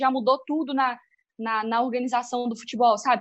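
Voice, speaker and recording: A woman's high voice in a strong Minas Gerais accent, at a fairly quick pace. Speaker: sports journalist. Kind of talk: casual discussion. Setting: remote call.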